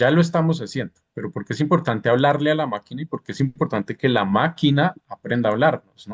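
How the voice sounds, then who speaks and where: Speech rushes by at a very fast pace with hardly any pauses. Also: man, fairly high pitch for a man, ordinary pitch variation. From Bogotá, Colombia. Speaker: interviewer and postdoctoral researcher. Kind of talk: interview conversation in a live conference.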